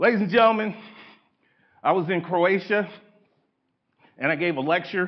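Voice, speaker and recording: A man talks at a fairly quick pace. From Indiana, US Midwest. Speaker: public speaker, college professor, retired hostage negotiator. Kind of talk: lecture. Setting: stage with audience. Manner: fast; halting.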